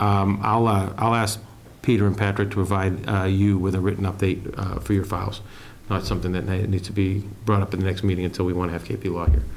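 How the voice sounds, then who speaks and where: Talking at a very fast pace, a man uses a fairly low pitch and monotone, flat intonation amid noticeable background noise and audible room echo. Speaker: town administrator. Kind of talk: public meeting discussion. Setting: town board meeting.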